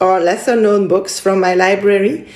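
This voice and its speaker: In a French accent, a woman speaks at a medium pitch and a fairly slow pace. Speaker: book vlogger. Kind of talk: casual vlog monologue. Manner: halting, searching for words.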